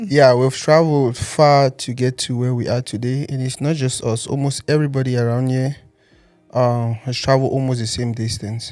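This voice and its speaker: Over music in the background, a man speaks at a moderate pace. His pitch is medium and his intonation fairly even. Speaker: interviewer, podcast host. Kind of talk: podcast interview host.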